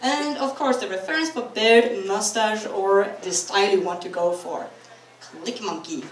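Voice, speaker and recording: In a Norwegian accent, a woman speaks at a fairly high pitch with lively intonation. Audible room echo and noticeable background noise surround her voice. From Norway. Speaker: convention panelist. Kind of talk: convention talk. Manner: animated.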